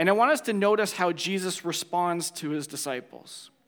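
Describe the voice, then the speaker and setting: With a Canadian accent, a man speaks at a high pitch. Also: very clean recording, silent background. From Ontario, Canada. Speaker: pastor. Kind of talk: sermon.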